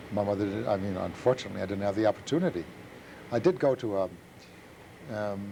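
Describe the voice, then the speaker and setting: A man with a German accent has a fairly low pitch and a dark, mellow tone. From Germany. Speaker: Holocaust survivor. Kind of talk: testimony. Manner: halting.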